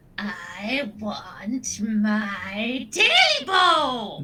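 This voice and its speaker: Someone puts on a menacing character voice that is fairly high, croaky and hoarse. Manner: croaking, menacing.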